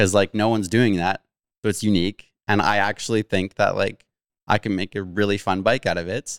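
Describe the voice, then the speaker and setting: With a western Canadian accent, a man talks fairly quickly at a fairly low pitch and fairly even intonation, the sound dry and close with no echo on a very clean recording with a silent background. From Abbotsford, British Columbia, Canada. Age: 30s. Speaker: mountain bike YouTuber. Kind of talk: casual chat.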